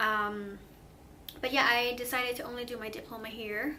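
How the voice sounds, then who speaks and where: A woman with a Swedish accent speaks at a moderate pace in a fairly high pitch with a bright, sharp tone, and audible room echo surrounds her voice. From Sweden. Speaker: vlogger. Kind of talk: casual vlog monologue. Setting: sitting alone talking to camera. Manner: hesitant, many ums and restarts.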